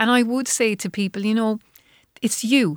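In an Irish accent, the speaker keeps a moderate pace and fairly even intonation, with a dry, close sound with no echo on a very clean recording with a silent background. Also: woman. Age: 50s. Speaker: menopause coach. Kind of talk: interview. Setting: studio.

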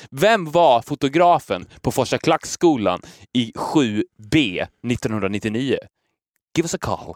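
In a very clean recording with a silent background and a dry, close sound with no echo, a man speaks very slowly at a medium pitch with very wide pitch swings. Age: 30s. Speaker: podcast host. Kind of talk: casual chat.

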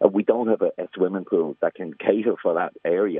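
A man with a County Louth accent at a very fast pace. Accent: Irish, County Louth. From Drogheda, Ireland. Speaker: sports club chairman. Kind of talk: radio phone-in. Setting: phone call.

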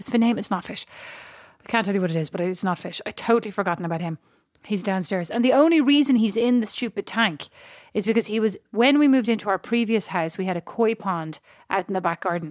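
Speaking very fast with an Irish accent, a woman uses lively intonation, recorded with a dry, close sound and no echo. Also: medium pitch for a woman, very clean recording, silent background. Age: 40s. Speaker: podcast co-host. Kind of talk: casual chat. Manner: animated.

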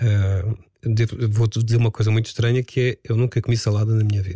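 A man with a medium pitch and a dark, mellow tone speaks at a fairly quick pace, somewhat breathy, with fairly even intonation. The sound is dry and close, with no echo. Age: 50s. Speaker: radio presenter and DJ. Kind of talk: casual chat. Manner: calm.

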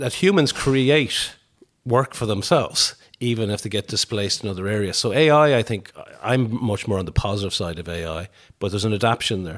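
With a western Irish accent, a man speaks at a fairly quick pace and a fairly low pitch. His intonation is lively, and the recording is very clean with a silent background. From Ireland, Tuam, County Galway. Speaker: business group chief executive and economist. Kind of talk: interview. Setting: kitchen table at home.

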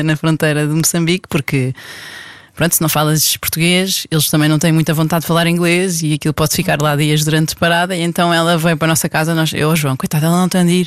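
A woman with a very deep, low pitch speaks at a very fast pace in a monotone, flat intonation, the sound dry and close with no echo. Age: 30s. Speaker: married mother of five. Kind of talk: casual interview conversation.

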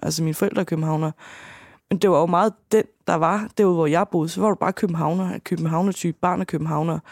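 The recording is dry and close, with no echo. A woman with a fairly low pitch speaks at a very fast pace with fairly even intonation. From Danish provincial town. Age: 30s. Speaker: podcast guest diagnosed with dissocial personality. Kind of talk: casual interview.

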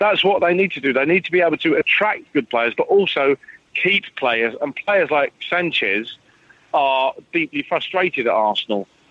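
A man with an English accent and a high pitch speaks at a moderate pace, with lively intonation and very even loudness. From England. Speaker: football journalist. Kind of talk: casual chat.

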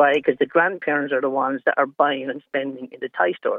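A man with an Irish accent talks very fast at a fairly high pitch. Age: 60s.

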